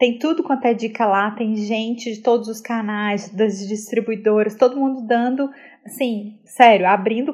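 A woman with an unremarkable speaking voice, fairly high in pitch, at a moderate pace and with fairly even intonation. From Belo Horizonte, Minas Gerais, Brazil. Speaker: TV executive and presenter. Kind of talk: casual interview.

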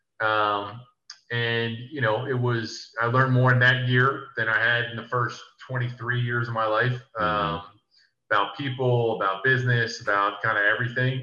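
A man talks at a moderate pace in a flat monotone, with audible room echo around him. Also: medium pitch for a man. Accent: American. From US Northeast (South Jersey, near Philadelphia). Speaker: former college basketball player, real estate developer. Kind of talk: casual interview.

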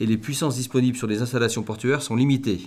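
In a very clean recording with a silent background, a man speaks in an unremarkable speaking voice at a medium pitch, with ordinary pitch variation. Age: 50s. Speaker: boatbuilder and company founder. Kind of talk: interview.

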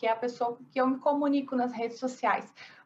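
Against noticeable background noise, a woman speaks at a high pitch. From Brazil, interior of Paraná. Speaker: architect. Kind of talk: interview.

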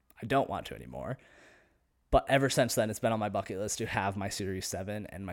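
Over a silent background on a very clean recording, a man with an American accent talks at a fairly quick pace. His fairly low voice carries vocal fry and lively intonation. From US, various states. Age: 20s. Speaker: podcaster and real estate agent. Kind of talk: solo casual monologue. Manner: casual, unscripted with fillers.

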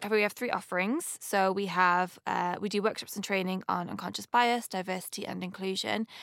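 With a Manchester accent, a woman talks at a medium pitch and a fairly quick pace, using fairly even intonation and hardly any pauses. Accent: Mancunian northern English. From Manchester, northern England. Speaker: company co-founder. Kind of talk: interview answers, personal reflection.

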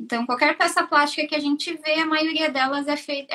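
A woman projects a raised voice at a high pitch. Her tone is bright and sharp, with fairly even intonation. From southern Brazil, Joinville, Santa Catarina. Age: 30s. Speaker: mechanical engineer. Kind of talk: interview on a live stream.

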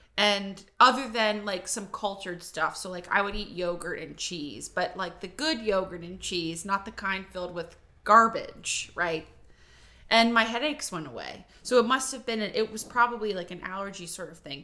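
A woman's bright, sharp voice with an American accent, at medium pitch and moderate pace, with ordinary pitch variation and big swings in loudness. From western Pennsylvania. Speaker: podcast co-host. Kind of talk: casual chat.

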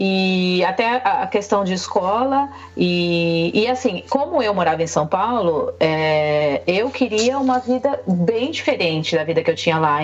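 Over noticeable background noise, a woman speaks at a medium pitch with very wide pitch swings. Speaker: Brazilian content creator living in Canada. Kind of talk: casual chat.

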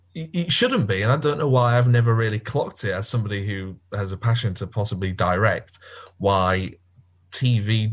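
A somewhat breathy man at a medium pitch is heard in a very clean recording with a silent background. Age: 20s. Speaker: podcast host. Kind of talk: casual chat.

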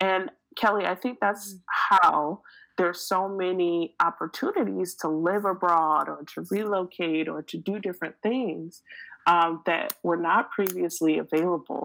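A woman with an American accent and an ordinary speaking voice talks at a fairly slow pace in a fairly low pitch with fairly even intonation, in a very clean recording with a silent background. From Detroit, Michigan, US. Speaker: educational trainer and tech speaker. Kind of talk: casual interview.

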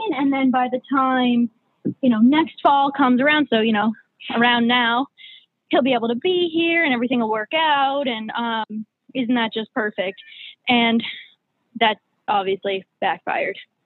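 A high-pitched woman with an American accent, at a moderate pace with ordinary pitch variation and long, frequent pauses. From New Hampshire, US. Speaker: K-1 visa plaintiff. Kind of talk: casual interview.

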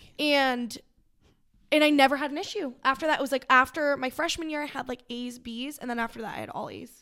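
A woman with an American accent speaks in a raised, projected voice at a high pitch and a fairly quick pace, her loudness swinging widely while her intonation stays fairly even. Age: 20s. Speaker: boutique owner. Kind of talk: casual chat.

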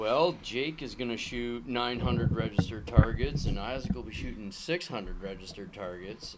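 A man with an American accent at a medium pitch, lively intonation, big swings in loudness, a moderate pace with hardly any pauses, and noticeable background noise. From Minnesota. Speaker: clay shooter and father. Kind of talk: casual chat. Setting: garage.

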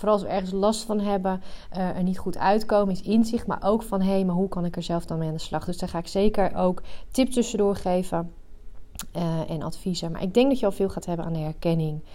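Her tone dark and mellow, a woman at medium pitch talks at a fairly quick pace. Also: ordinary pitch variation. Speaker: coach for highly sensitive women. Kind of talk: solo podcast monologue. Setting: rented work room.

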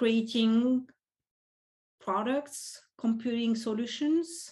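A woman with a French accent at a very slow pace. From France. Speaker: professor. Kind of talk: casual interview.

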